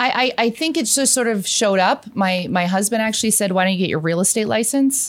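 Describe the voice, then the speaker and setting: Fairly quick, with hardly any pauses, a woman speaks in an Ontario accent. Her voice is fairly high, with ordinary pitch variation and very even loudness. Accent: Canadian (Ontario). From Hamilton, Ontario, Canada. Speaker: real estate agent. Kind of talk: casual chat.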